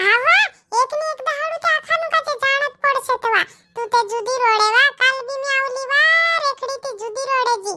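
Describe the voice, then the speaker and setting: A woman puts on a cartoonish character voice at an extremely high pitch. She speaks at a moderate pace. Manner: emotional, pleading.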